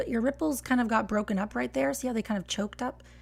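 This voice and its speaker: She speaks with an American accent at a fairly high pitch. The woman's voice is somewhat breathy. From Texas. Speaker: barista and latte art coach. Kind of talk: live stream tutorial critique. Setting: live stream. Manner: casual, chatty.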